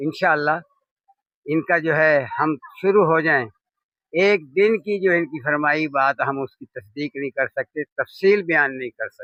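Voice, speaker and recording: The voice has a bright, sharp tone and ordinary pitch variation, in a dry, close sound with no echo. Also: man. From Pakistan, Punjab (Khushab district, Soon Sakesar valley). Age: 70s. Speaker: shrine visitor, devotee. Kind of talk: street interview.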